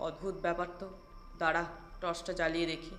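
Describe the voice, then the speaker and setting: Putting on a character voice, a man speaks at a high pitch and a fairly quick pace, shaky and in monotone, flat intonation, over light background noise. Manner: trembling, fearful.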